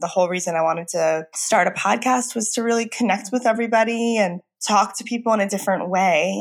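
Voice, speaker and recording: A woman talks at a very fast pace with hardly any pauses, at a medium pitch with ordinary pitch variation. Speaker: anxiety therapist and podcast host. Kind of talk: solo podcast monologue.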